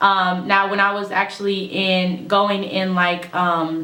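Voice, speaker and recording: A woman with an American accent speaks at a medium pitch. Audible room echo and noticeable background noise surround her voice. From California, US. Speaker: YouTuber. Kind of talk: casual vlog talk.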